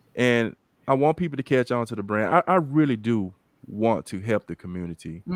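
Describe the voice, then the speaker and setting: In a dry, close recording with no echo, a man talks at a fairly quick pace in an unremarkable speaking voice with lively intonation. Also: medium pitch for a man. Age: 50s. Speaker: fitness brand founder and talk show host. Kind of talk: casual chat.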